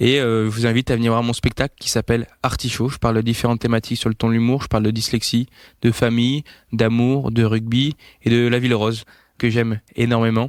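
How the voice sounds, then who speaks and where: Delivered at a fairly quick pace in a flat monotone, the voice comes through on a very clean recording with a silent background. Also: man, medium pitch for a man. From France, Toulouse. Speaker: comedian. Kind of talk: short self-presentation. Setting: handheld mic, recorded outside studio. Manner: hesitant with fillers.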